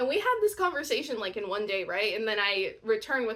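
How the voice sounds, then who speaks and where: A woman's fairly high voice against noticeable background noise. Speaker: audiobook narrator. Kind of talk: casual talk to camera. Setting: camera microphone. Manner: chatty, excitable.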